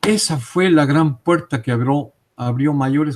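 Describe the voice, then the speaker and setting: Recorded dry and close with no echo, a man speaks at a moderate pace with ordinary pitch variation. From Mexico City. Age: 60s. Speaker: interviewee on UFO and paranormal topics. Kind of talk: interview testimony. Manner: hesitant, with frequent fillers.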